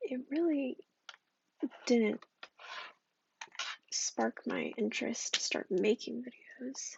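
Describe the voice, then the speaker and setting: This voice is soft-spoken and whispering. It moves at a very slow pace. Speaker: ASMR creator. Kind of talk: ASMR soft-spoken rambling. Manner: whispered and soft-spoken.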